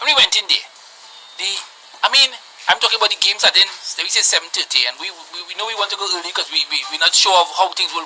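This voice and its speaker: A woman with a Trinidadian accent talks at a very fast pace in an animated tone, with lively intonation and a medium pitch. Noticeable background noise is present. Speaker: football supporter group member. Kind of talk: radio talk show discussion.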